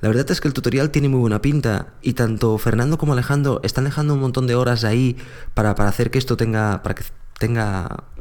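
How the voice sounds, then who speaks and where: The recording is very clean and the background silent. A normal speaking voice moves fairly quickly with fairly even intonation. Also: man. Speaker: podcast host. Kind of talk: casual chat.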